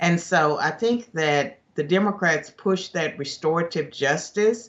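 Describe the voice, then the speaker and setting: This man has a high voice and a lively intonation. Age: 60s. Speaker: political commentator, former professor. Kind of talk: news interview.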